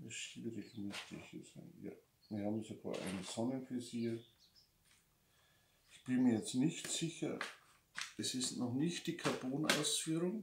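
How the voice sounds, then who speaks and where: A man speaks with a Lower Bavarian accent, lively intonation and big swings in loudness. Long, frequent pauses break up his speech over noticeable background noise. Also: fairly slow pace. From Lower Bavaria, Germany. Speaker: motorcycle magazine publisher. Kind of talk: casual unboxing talk to camera.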